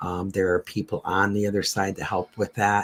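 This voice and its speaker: This man has a normal speaking voice, a fairly low pitch, and an American accent. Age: 60s. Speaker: medium and paranormal radio co-host. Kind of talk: casual Q&A discussion.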